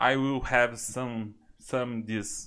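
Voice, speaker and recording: Against a quiet background, a man speaks with a Brazilian accent. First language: Portuguese. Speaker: YouTuber and English learner. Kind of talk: casual chat. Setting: video call. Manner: excitable. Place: home room.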